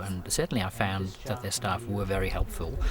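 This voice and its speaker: A man with an English accent, fairly low in pitch, at a moderate pace. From England. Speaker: rural doctor. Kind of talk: interview answer.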